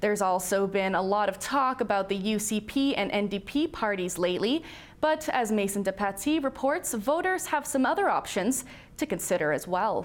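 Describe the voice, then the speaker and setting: In a plain, everyday voice, a woman talks at a moderate pace and medium pitch, her intonation lively and her loudness very even. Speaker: news anchor. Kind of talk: TV news anchor read.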